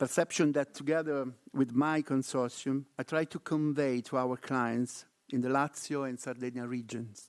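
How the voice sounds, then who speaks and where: On a very clean recording with a silent background, a man with an Italian accent speaks at a medium pitch and a moderate pace with fairly even intonation. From Italy. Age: middle-aged. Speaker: research network coordinator. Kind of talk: conference presentation.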